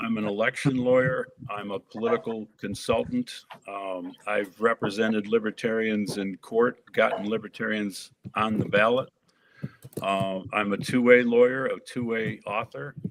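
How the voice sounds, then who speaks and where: A man's normal speaking voice with an American accent, medium in pitch, fairly even in intonation, at a moderate pace. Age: 60s. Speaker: election lawyer and political candidate. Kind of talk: political debate.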